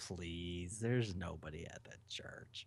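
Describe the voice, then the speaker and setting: In a put-on character voice, a man speaks fairly slowly with a very deep, low pitch. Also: ordinary pitch variation. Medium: actual play. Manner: evasive, dismissive.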